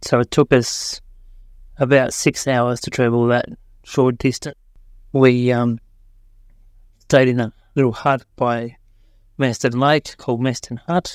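Long, frequent pauses break up a man's monotone, flat intonation in an Australian accent. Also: medium pitch for a man. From Australia, Tasmania. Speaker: hiker sharing a story. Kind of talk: recorded story.

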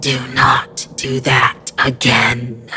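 Over clear music in the background, a man puts on a raspy, strained, hissing character voice at medium pitch. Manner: hissing, forced.

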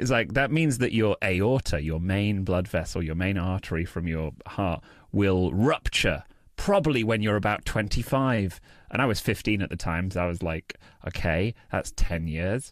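A man with a British accent and a fairly low pitch, lively intonation at a fairly slow pace, in a very clean recording with a silent background. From England. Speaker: comedian and freestyle rapper. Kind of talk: casual interview chat.

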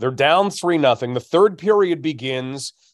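A plain, everyday voice with a Canadian accent, lively intonation and a moderate pace, on a very clean recording with a silent background and a dry, close sound with no echo. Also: man. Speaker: hockey analyst and podcast co-host. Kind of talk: podcast analysis, conversational.

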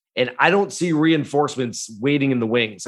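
At a moderate pace, the clip carries a plain, everyday voice. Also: man. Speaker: golf analyst. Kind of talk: casual chat. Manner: casual, conversational.

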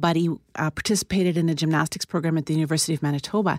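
The recording of this woman's fairly low voice is dry and close, with no echo. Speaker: psychologist. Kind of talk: interview.

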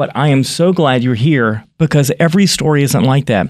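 Speaking at a moderate pace, this man has an unremarkable speaking voice and ordinary pitch variation. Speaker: podcast host. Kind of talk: interview.

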